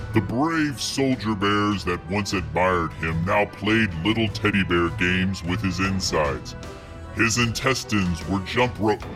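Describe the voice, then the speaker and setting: A man's put-on character voice, fairly low in pitch, at a moderate pace over loud background music. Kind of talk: storybook narration. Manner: solemn, deadpan.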